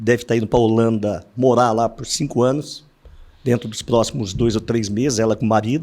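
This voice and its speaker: A man speaks at a moderate pace in a medium pitch. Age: 60s. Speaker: insurance broker, company founder. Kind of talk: podcast interview.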